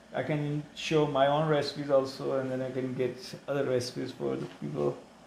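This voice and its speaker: The speaker talks in a monotone, flat way at a fairly quick pace. Audible room echo and noticeable background noise are present. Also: man, medium pitch for a man. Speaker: cooking show host. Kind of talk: casual chat while cooking. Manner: halting.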